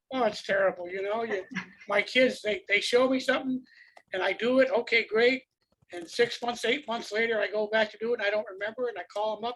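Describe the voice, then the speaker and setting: A man at a high pitch with fairly even intonation. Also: fairly quick pace. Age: 80s+. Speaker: audience member. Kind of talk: casual Q&A.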